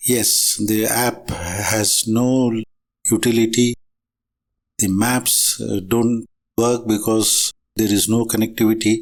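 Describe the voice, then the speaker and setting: A man with a medium pitch speaks at a very slow pace in a monotone, flat intonation, with very even loudness and long, frequent pauses. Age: 70s. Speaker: motorcycle vlogger. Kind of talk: product review.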